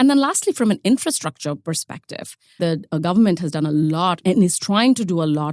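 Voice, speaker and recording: With an Indian accent, a woman talks at a moderate pace in a fairly low voice that swings very widely in pitch. The sound is dry and close with no echo, and the recording is very clean against a silent background. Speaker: ETF expert, podcast regular. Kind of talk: quiz show chat.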